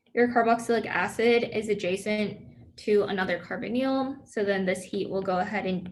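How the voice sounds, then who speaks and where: Audible room echo surrounds a woman speaking in a medium pitch. She keeps a moderate pace and fairly even intonation. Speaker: student peer tutor. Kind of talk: review session lecture. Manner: casual, filler-heavy.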